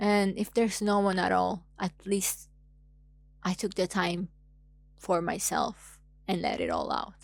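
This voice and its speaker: A woman speaks in an Italian accent at a medium pitch. Her pace is fairly slow, with long, frequent pauses. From Italy. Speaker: YouTuber. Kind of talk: casual monologue vlog. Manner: animated.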